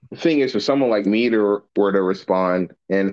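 Using a plain, everyday voice, a man talks at a fairly quick pace with a fairly low pitch and ordinary pitch variation. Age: 20s. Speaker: military service member. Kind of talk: casual podcast discussion.

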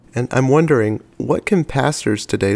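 The recording has a dry, close sound with no echo. A man with a normal speaking voice talks at a moderate pace, his pitch varying in an ordinary way. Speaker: podcast host. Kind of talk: interview.

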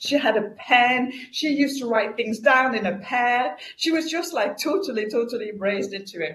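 Lively intonation carries a moderate pace with hardly any pauses, against noticeable background noise. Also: woman, high pitch for a woman. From France. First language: French. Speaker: customer experience consultant and author. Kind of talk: interview.

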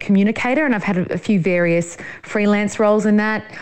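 A woman in an Australian accent, at a medium pitch and a moderate pace. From Sydney, Australia. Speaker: journalist and farmer. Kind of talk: interview. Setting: studio.

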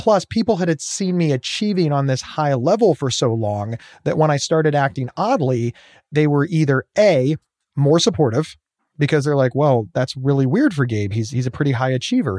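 A man with a normal speaking voice and a fairly high pitch talks at a moderate pace with lively intonation. The recording is very clean, with a silent background and a dry, close sound with no echo. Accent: American. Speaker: mental health speaker and podcast host. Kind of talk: interview conversation.

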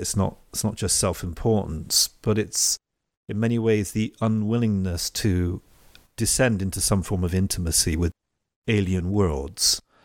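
A man with an English accent speaks at a fairly low pitch in a dry, close sound with no echo. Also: very clean recording, silent background. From England. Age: 40s. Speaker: podcast host. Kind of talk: interview.

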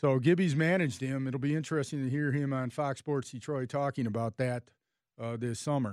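With an ordinary speaking voice, a man talks at medium pitch and a fairly quick pace with ordinary pitch variation, the sound dry and close with no echo over a quiet background. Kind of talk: radio host patter.

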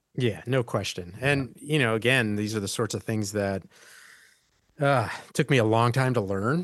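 A man talks in a plain, everyday voice at medium pitch and a moderate pace. His pitch variation is ordinary, and the background is quiet. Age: 60s. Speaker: podcast host, IT company founder. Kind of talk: interview conversation.

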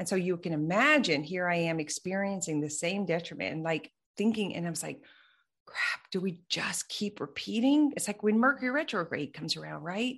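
A woman's plain, everyday voice at a medium pitch, fairly quick, with lively intonation and a quiet background. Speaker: mind body coach and business mentor. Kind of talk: casual interview conversation.

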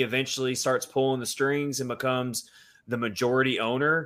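Here is a man with a normal speaking voice at a medium pitch. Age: 30s. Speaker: hockey podcast host. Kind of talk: casual chat.

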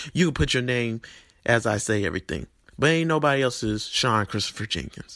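A man's animated, medium-pitched voice in a Southern US accent, bright and sharp in tone, with lively intonation at a fairly quick pace. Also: very clean recording, silent background. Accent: Southern US, country. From Tennessee, US South. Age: 20s. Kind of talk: sermon-style vlog monologue. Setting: video channel, solo. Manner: animated, preachy, emotional.

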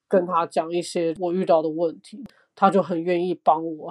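A woman with an ordinary speaking voice talks in a fairly low pitch and fairly even intonation over a quiet background. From Taiwan. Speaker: digital learning designer. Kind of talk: casual chat.

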